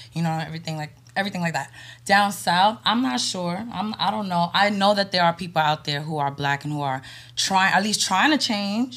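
With a plain, everyday voice, a woman speaks in an American accent at a fairly quick pace with lively intonation and a fairly low pitch, on a very clean recording with a silent background. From New York. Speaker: podcast guest. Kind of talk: casual chat.

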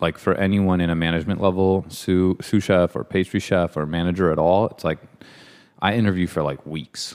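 A man with an American accent speaks at a fairly quick pace in a very deep, low pitch. The recording is very clean and the background silent. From San Francisco, US. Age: 40s. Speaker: pastry chef and ice cream shop owner. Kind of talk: casual interview. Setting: studio.

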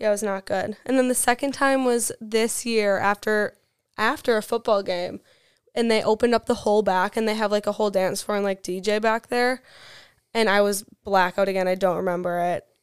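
Speaking fairly quickly with fairly even intonation, a woman in an Upper Midwest accent has a fairly high pitch, recorded very clean with a silent background and a dry, close sound with no echo. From Wisconsin, near La Crosse. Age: 20s. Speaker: college student. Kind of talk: casual chat.

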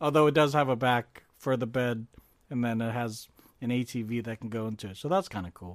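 Fairly quick and medium in pitch, a man talks with ordinary pitch variation in an unremarkable speaking voice. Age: 30s. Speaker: podcast co-host. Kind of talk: casual chat.

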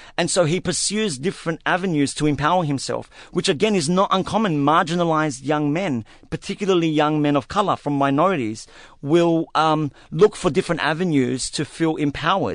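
The voice moves at a fairly quick pace with ordinary pitch variation over a quiet background. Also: man, fairly high pitch for a man. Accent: Australian. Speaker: novelist. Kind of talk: interview. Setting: studio.

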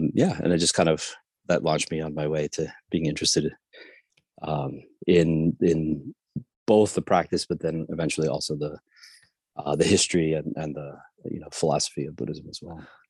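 A man with a very deep, low pitch speaks at a fairly quick pace. He uses fairly even intonation with long, frequent pauses. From South America, raised in the US from age seven. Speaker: professor. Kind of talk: interview. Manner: hesitant, many fillers.

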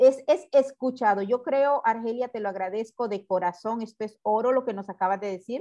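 A woman's fairly high voice, dark and mellow in tone, with ordinary pitch variation, big swings in loudness and a moderate pace. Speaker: podcast host. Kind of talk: interview. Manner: warm, effusive.

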